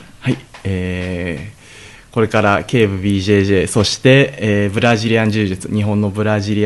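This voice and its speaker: A man speaks in a plain, everyday voice at a fairly low pitch. His pace is moderate and his intonation fairly even. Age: 20s. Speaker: Brazilian jiu-jitsu fighter and gym owner. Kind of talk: radio interview. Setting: radio studio.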